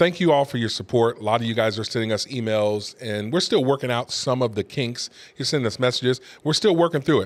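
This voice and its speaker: A man speaks at a very fast pace. His pitch is medium, with ordinary pitch variation. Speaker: pastor and talk show host. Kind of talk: casual talk show monologue. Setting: studio.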